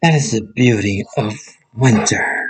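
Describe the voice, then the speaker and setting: A man's put-on character voice, medium-pitched and raspy, with lively intonation at a fairly slow pace. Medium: read story. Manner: gentle, soft-spoken.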